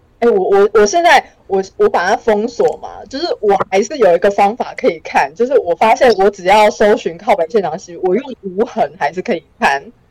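Her voice is fairly high in pitch, with lively intonation and a moderate pace. The woman's recording sounds dry and close, without echo. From Taiwan, Changhua. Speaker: comedian and writer. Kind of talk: casual interview.

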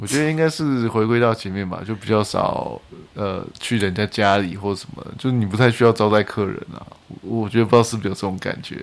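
A man with an ordinary speaking voice, fairly low in pitch, at a fairly quick pace, with big swings in loudness and ordinary pitch variation. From central-southern Taiwan. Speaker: podcast guest. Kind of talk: casual chat.

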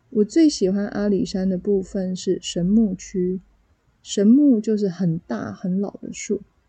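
Speaking at a very slow pace, a woman with a medium pitch sounds somewhat breathy. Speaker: Mandarin teacher and podcaster. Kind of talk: solo podcast monologue for language learners. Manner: clear, measured pace for learners.

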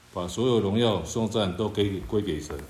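This man's voice is somewhat breathy, with a fairly low pitch and a fairly slow pace. Audible room echo surrounds it. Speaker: church member. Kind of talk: reading aloud.

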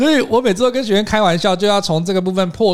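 A man's voice with noticeable background noise. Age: young. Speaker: podcast co-host, English speaking coach. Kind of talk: casual chat.

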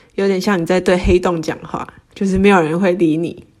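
Noticeable background noise sits behind a woman's medium-pitched voice. She talks at a moderate pace with ordinary pitch variation. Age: 20s. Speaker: personal finance Instagram creator. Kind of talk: casual interview.

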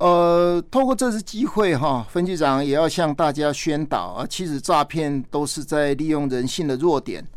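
Speaking at a fairly slow pace, a man with a fairly high pitch is heard on a very clean recording with a silent background. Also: hardly any pauses. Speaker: police chief. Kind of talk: radio interview. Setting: studio. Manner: formal; halting.

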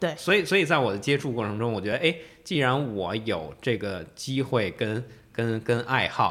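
A man speaks at medium pitch and a moderate pace. His voice makes very wide pitch swings. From Beijing, China. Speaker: Islamic art expert and tour guide. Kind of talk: casual interview. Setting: studio.

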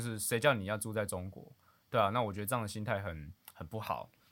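On a very clean recording with a silent background, a man speaks very fast in a fairly low voice. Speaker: podcast co-host. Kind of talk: casual chat.

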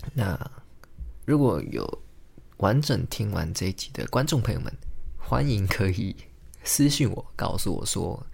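This man's fairly low voice makes very wide pitch swings and carries vocal fry. He leaves long, frequent pauses. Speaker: podcast host, engineer and amateur stand-up comedian. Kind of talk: solo casual monologue. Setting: home recording, alone at a microphone. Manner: hesitant, many filler words.

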